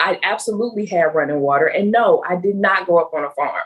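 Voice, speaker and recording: A woman speaks fairly quickly at a medium pitch with a slight Southern US accent. Her pitch varies in an ordinary way. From US South, Meridian, Mississippi. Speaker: nonprofit chief of staff. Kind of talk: interview.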